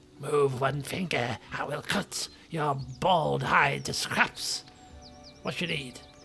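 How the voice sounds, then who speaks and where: Over clear music in the background, a put-on character voice speaks at a very slow pace. It is hoarse and raspy, with a low-to-middle pitch. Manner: threatening, curt.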